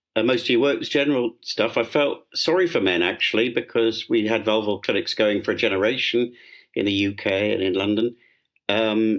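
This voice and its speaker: Recorded very cleanly against a silent background, this voice with a southern British accent moves at a fairly quick pace with ordinary pitch variation. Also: man. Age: 70s. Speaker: dermatologist. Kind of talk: interview. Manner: halting, many fillers.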